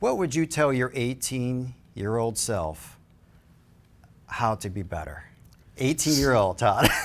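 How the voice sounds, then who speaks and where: Pausing long and often, a man with an American accent speaks very slowly at medium pitch, his intonation lively. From Chicago. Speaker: program director and podcast host. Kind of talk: interview.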